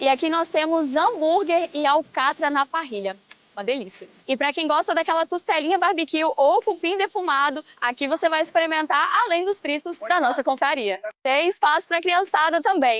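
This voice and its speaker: A woman speaks in an extremely high voice at a moderate pace, upbeat in tone with lively intonation. Noticeable background noise is present. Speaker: event host. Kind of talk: event coverage presentation. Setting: outdoors.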